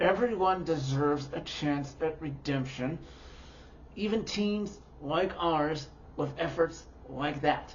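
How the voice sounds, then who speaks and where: Over light background noise, a strained, put-on character voice at a middle pitch moves at a fairly slow pace. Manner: through gritted teeth, strained.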